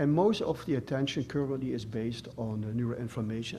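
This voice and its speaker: A man speaks fairly quickly in a medium pitch, his tone dark and mellow and somewhat breathy. His intonation is fairly even, and audible room echo is present. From Netherlands. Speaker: professor. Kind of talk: lecture. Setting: stage with audience. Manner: halting.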